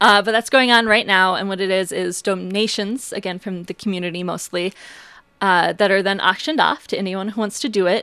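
A woman with an Upper Midwest accent talks at a very fast pace in a medium pitch, her tone bright and sharp and her pitch varying in an ordinary way. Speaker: museum curator. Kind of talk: radio interview.

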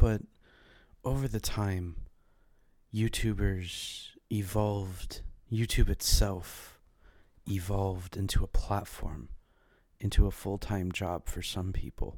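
A man's fairly low-pitched voice with a dark, mellow tone, fairly even intonation and a very slow pace, in a very clean recording with a silent background. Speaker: podcast host. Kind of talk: solo monologue. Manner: halting.

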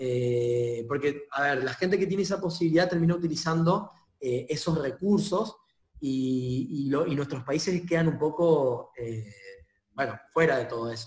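The speech moves at a fairly slow pace with ordinary pitch variation. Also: man, fairly high pitch for a man. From Argentina, Chaco (north). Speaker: software company director. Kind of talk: interview conversation. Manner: halting, with many repetitions and fillers.

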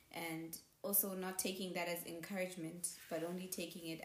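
This woman's voice sits fairly low for a woman and stays monotone and flat. Room echo is audible around her. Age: 20s. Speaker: podcast guest. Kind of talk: casual chat.

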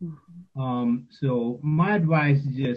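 A somewhat breathy man with a New York accent, showing ordinary pitch variation. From New York City (Queens). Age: 50s. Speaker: father, panel guest. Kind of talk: panel discussion.

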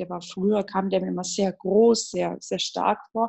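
A woman is talking. Her pitch is medium, and her intonation is fairly even. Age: 20s. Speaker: bereaved sibling. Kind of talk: personal testimony. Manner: halting.

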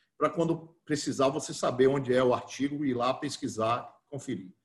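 A man talking at a fairly quick pace. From Bahia, Brazil (interior, Cruz das Almas). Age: 50s. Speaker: football club council candidate. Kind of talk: interview. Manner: halting.

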